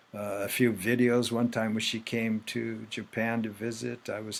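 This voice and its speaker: A man with an American accent talks in a fairly low pitch at a moderate pace. His intonation stays monotone and flat. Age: 70s. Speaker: author. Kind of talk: interview. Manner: halting.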